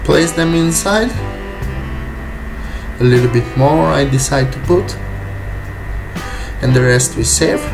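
A man with a non-native accent speaks with long, frequent pauses while clear music plays in the background. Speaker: private chef. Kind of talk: cooking tutorial talk to camera. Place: kitchen. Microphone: camera far.

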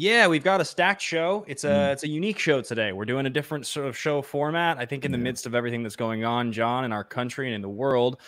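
A man talks at a very fast pace with hardly any pauses and lively intonation, over a quiet background. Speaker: show host. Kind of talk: live show host introduction. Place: home room. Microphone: studio mic.

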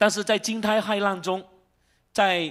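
The man's voice sits high in pitch. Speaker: pastor. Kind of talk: sermon. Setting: church.

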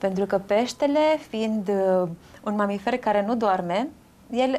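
Lively in intonation and fairly high in pitch, a woman speaks over light background noise. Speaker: nutritionist. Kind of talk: casual chat. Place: home room. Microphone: lapel.

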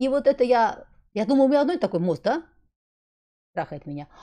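There's a dark, mellow tone to this woman's voice. Behind her, things stay quiet. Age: 50s. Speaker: wellness blogger. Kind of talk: vlog monologue. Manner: casual, rambling. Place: home room. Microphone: studio mic.

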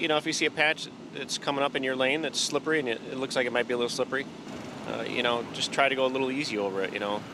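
Over noticeable background noise, a man talks very fast with fairly even intonation, the sound dry with no echo. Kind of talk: interview answer. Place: car. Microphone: handheld.

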